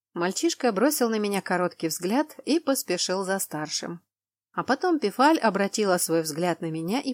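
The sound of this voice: An unforced reading voice with lively intonation, set against a quiet background.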